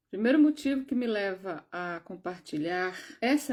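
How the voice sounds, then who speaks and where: A woman's normal speaking voice, fairly high in pitch, with lively intonation at a fairly slow pace, in a very clean recording with a silent background. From Brazil, João Pessoa (Northeast). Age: 60s. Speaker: spiritual video creator. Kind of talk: personal testimony.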